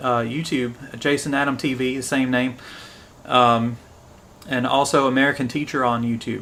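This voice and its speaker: Medium-pitched man in a Southern US accent, fairly even intonation, moderate pace. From US South, Tennessee. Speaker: English teacher, live streamer. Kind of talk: live stream commentary and English lesson. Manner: casual, with fillers.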